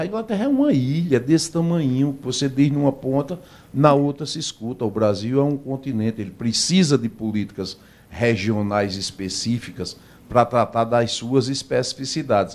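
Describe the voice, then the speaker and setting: This man has an ordinary speaking voice at a medium pitch. He talks at a moderate pace with lively intonation. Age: 60s. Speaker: doctor and health plan executive. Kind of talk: radio interview. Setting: radio studio.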